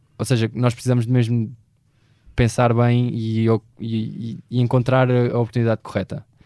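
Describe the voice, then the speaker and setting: In a dark, mellow tone at medium pitch, a man keeps a moderate pace, very even loudness and monotone, flat intonation. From Portugal, Beja (Alentejo). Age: 20s. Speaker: finance consultant. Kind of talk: interview. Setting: studio. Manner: halting, many fillers.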